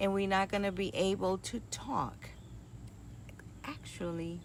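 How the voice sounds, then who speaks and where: This woman's voice sits very deep and low, with vocal fry and a fairly slow pace. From New York and Puerto Rico (moved at eight). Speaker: nurse and retreat host. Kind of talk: casual talk to a group.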